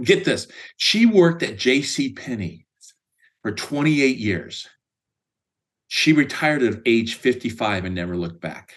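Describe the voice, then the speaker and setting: A man speaks at a moderate pace. He has a Midwestern American accent. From US Midwest, Indiana. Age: 60s. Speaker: sales executive. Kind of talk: interview.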